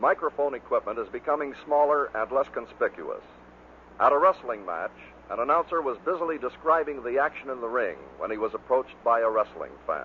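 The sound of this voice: At a fairly quick pace, a man speaks at a medium pitch with lively intonation.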